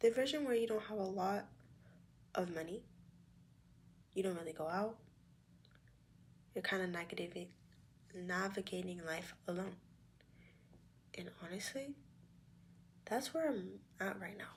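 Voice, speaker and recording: This woman has a medium pitch and a somewhat breathy voice with lively intonation. She talks at a moderate pace, leaving long, frequent pauses. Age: young. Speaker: vlogger and sonography student. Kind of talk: casual talk to camera. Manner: candid, reflective.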